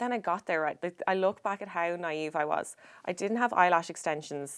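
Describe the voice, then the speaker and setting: A woman speaks at a fairly quick pace in an Irish accent. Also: fairly low pitch for a woman, ordinary pitch variation. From Ireland. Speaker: former model and businesswoman. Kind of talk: casual chat. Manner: animated.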